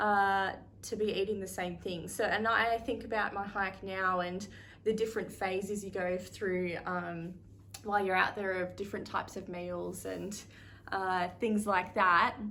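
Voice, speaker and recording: In an Australian accent, a woman speaks at medium pitch with a bright, sharp tone. Her intonation stays monotone and flat, and audible room echo surrounds her. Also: fairly slow pace. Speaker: thru-hiker vlogger. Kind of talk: casual vlog talk to camera. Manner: casual with frequent fillers.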